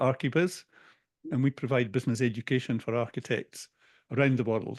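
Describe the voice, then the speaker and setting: A man with a Scottish accent, medium pitch and ordinary pitch variation. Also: dry, close sound with no echo, quiet background. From Scotland. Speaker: business coach. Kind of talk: interview.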